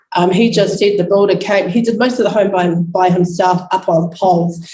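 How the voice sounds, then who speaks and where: A moderate pace against noticeable background noise. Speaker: Māori land-use panel speaker. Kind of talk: conference panel presentation.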